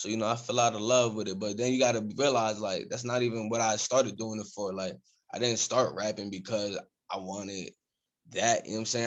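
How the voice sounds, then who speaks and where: At a fairly quick pace, a man with an American accent speaks at medium pitch. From Reading, Pennsylvania, US. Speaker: rapper. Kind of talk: casual podcast interview. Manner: animated.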